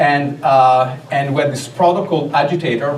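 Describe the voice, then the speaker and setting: A man's fairly high-pitched voice with audible room echo and noticeable background noise. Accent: Italian. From Italy (Rome). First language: Italian. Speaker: tech consultant and speaker. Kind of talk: conference talk.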